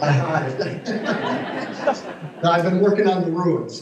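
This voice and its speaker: A man's pitch varies in an ordinary way as he talks, with audible room echo and noticeable background noise around him. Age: 70s. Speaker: ruins restoration worker. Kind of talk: short talk to audience.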